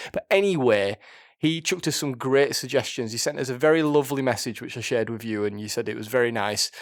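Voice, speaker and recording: Over a very clean recording with a silent background, a man with a strong Yorkshire accent talks at a very fast pace and medium pitch with lively intonation. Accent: thick Yorkshire. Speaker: podcast co-host, film reviewer. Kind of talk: casual chat. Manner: halting, repeats words.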